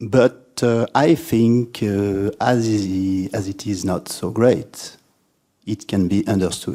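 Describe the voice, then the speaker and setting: A man with a French accent speaks very slowly in a fairly low voice, his pitch rising and falling in an ordinary way. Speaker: writer and literature lecturer. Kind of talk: spoken talk to audience. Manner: halting, many fillers.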